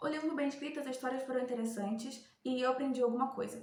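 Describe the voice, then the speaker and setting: A woman speaks at a fairly quick pace in a high voice, her intonation fairly even. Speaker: book reviewer. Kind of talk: casual talk to camera. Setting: headset microphone.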